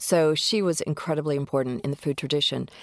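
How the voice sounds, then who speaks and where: A woman with an American accent speaks in a very deep, low pitch, her pitch varying in an ordinary way. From US South (Mississippi, New Orleans family). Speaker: entrepreneur. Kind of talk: interview.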